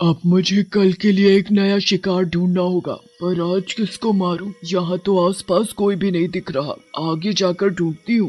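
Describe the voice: A man uses a put-on character voice pitched high. His tone is menacing. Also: moderate pace.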